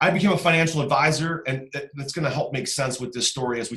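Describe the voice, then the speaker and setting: A man speaks at a fairly quick pace with an American accent. His pitch varies in an ordinary way. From US Midwest, Cleveland Ohio. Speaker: real estate investor. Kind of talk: podcast interview. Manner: animated.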